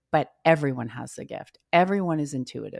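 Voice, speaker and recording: A woman speaks at a fairly quick pace with lively intonation, in a plain, everyday voice. The sound is dry and close with no echo, and the recording is very clean over a silent background. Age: 50s. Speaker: energy coach. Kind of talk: casual chat.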